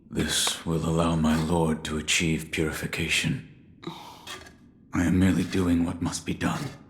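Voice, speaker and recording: Using a put-on character voice, a man speaks with a very deep, low pitch in a monotone, flat intonation. He keeps a moderate pace with long, frequent pauses. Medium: video game. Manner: terse, low.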